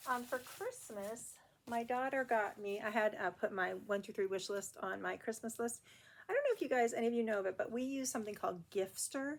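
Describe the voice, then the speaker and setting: The speaker has a plain, everyday voice with ordinary pitch variation. The pace is fairly quick. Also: woman, fairly high pitch for a woman. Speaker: cross stitch video blogger. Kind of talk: casual chat.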